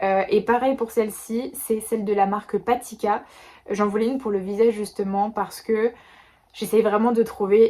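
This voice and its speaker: At a fairly quick pace, a woman talks in a medium-pitched voice with a dark, mellow tone. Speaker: beauty and lifestyle vlogger. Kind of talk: casual vlog talk to camera. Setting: shopping trip at a flea market. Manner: fast; hesitant with many fillers.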